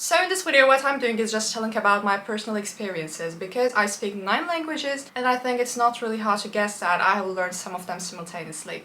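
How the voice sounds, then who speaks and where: Over noticeable background noise, a woman talks at a very fast pace. Her voice is fairly high, with lively intonation. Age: young. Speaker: polyglot language learner. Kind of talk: casual talk to camera.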